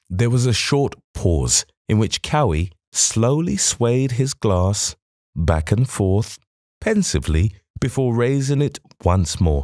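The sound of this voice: A man with a medium pitch and a slightly mellow tone speaks at a slow pace with big pitch swings, on a very clean recording with a silent background.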